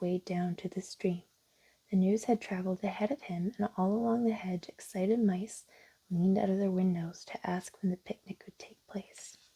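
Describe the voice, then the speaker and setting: A soft-spoken woman talks at a moderate pace in a medium pitch, her tone dark, mellow and calm, her intonation fairly even, her voice somewhat breathy, and the sound dry and close with no echo. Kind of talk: children's storybook narration. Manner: soft-spoken, calm.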